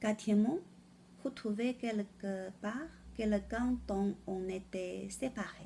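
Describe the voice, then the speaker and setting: A woman's somewhat breathy, dark, mellow voice at a fairly high pitch, with a Chinese accent, ordinary pitch variation and a very slow pace. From China. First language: Chinese (speaking French). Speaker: French learner presenting a word of the day. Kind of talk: vocabulary lesson. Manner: halting.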